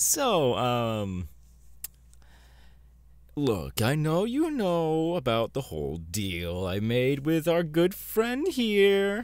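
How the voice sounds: A man performs a put-on character voice at a fairly high pitch. He speaks very slowly, with big pitch swings.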